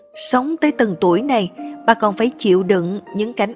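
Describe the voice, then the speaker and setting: Over music in the background, a woman with a fairly high pitch speaks at a fairly slow pace with lively intonation. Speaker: story narrator. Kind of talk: read social drama story. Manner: expressive, moving.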